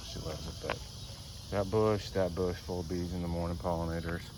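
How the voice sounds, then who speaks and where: A man speaks with a very deep, low pitch and fairly even intonation. Noticeable background noise and audible room echo come through. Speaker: gardening vlogger. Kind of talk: casual garden tour. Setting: outdoors. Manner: halting.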